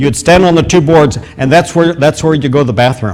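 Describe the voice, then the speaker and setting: Lively intonation marks this man's voice, which has a fairly high pitch. He speaks with a Midwestern American accent. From US Midwest, rural Iowa. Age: 70s. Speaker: guest preacher. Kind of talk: testimony. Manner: halting, many fillers and repeats.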